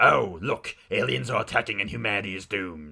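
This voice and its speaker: A man puts on a character voice. It is raspy and moves at a moderate pace. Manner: calm, smooth, creepy.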